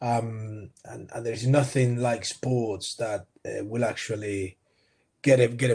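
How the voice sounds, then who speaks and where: With an American accent, a man of medium pitch sounds somewhat breathy and keeps fairly even intonation. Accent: more UK than American. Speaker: sports coaching entrepreneur. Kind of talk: interview.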